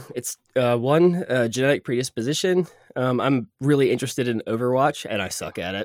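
A man talks at a fairly quick pace in a normal speaking voice, at a medium pitch with ordinary pitch variation. The sound is dry and close, with no echo. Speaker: podcast host and sound designer.

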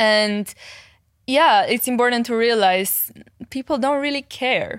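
A woman with a slight Romanian accent speaks at a fairly slow pace and a fairly high pitch, with ordinary pitch variation. The recording is very clean with a silent background. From Romania, Cluj (Transylvania). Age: 20s. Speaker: psychology content creator and life coach. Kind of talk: casual interview.

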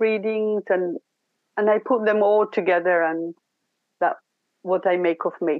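This voice has an Italian accent and fairly even intonation. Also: woman. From Italy. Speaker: spiritual healer. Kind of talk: interview.

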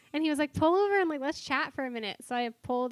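A loud woman speaks in a dry, close recording with no echo, very clean and against a silent background. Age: 20s. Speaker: coffee stand worker. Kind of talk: casual chat.

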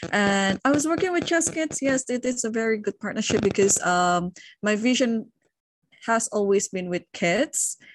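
A woman's fairly high voice in an Indonesian accent, lively intonation, moderate pace, dry, close sound with no echo. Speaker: professional chess player. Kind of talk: casual interview.

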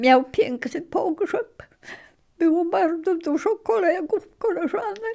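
This woman's voice sits extremely high, with a dark, mellow tone. Her pitch swings very widely as she talks at a very slow pace. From eastern Poland, Tarnopol region (now Ukraine), then Siberian deportation. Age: 80s+. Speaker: retired teacher, deportation survivor. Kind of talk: testimony.

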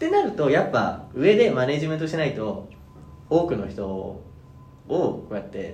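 Amid audible room echo, a man with a fairly high voice speaks at a moderate pace, his pitch swinging very widely. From Tokyo, Japan. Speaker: podcast guest. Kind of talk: casual chat.

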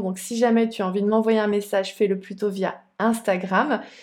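A woman's fairly high yet dark, mellow voice, monotone and flat in intonation, on a very clean recording with a silent background. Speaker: sophrologist and podcast host. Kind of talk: casual video monologue. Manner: slower, softer voice when guiding sessions.

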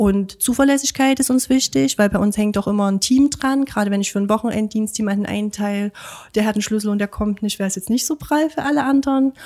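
A woman's fairly high, somewhat breathy voice, dark and mellow in tone, at a very fast pace with ordinary pitch variation. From Chemnitz, Saxony. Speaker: animal shelter volunteer. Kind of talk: interview. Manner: hesitant, many fillers.

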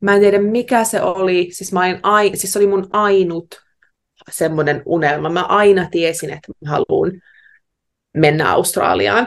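This is a normal speaking voice. It moves at a fairly slow pace with ordinary pitch variation. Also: woman, medium pitch for a woman. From Finland, Savo (Heinävesi). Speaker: yoga teacher and new mother. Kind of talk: casual interview conversation. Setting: remote call from Australia.

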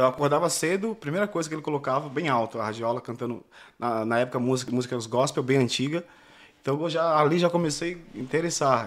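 On a very clean recording with a silent background, a man speaks very fast at a fairly high pitch with ordinary pitch variation. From Pernambuco, Brazil (Recife area). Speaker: singer-songwriter. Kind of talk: interview. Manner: shy.

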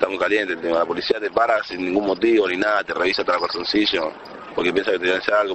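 A man talks very fast in a fairly low voice. Noticeable noise sits in the background. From Dominican Republic. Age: 20s. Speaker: rapper. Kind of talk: interview.

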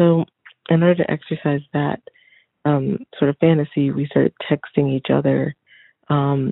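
Her very deep, low pitch for a woman carries at a moderate pace. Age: 20s. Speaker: caller. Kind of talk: voicemail story. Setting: phone message.

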